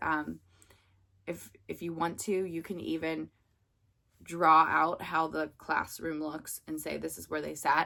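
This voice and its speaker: Speaking very slowly with an American accent, a woman uses a very deep, low pitch, vocal fry and a bright, sharp tone. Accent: Pittsburgh accent, noticed by students. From Pittsburgh, US. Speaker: substitute teacher coach, former substitute teacher. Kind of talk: casual advice talk to camera. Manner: casual, many fillers (um, like).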